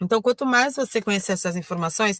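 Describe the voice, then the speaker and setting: A woman of medium pitch with ordinary pitch variation is heard in a dry, close sound with no echo. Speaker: online trainer. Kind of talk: tutorial. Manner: halting, many fillers and self-corrections.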